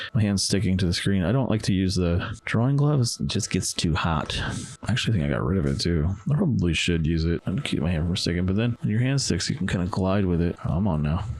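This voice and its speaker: Over noticeable background noise, a man with a very deep, low voice talks at a very fast pace with lively intonation and very even loudness. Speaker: comic artist. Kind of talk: drawing tutorial commentary. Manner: casual, self-correcting; slight stutter.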